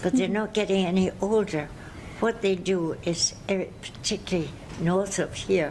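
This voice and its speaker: Noticeable background noise sits behind a woman speaking at a moderate pace in a medium pitch. Her loudness stays very even and her intonation fairly even. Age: 90s. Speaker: yoga teacher. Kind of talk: interview answer.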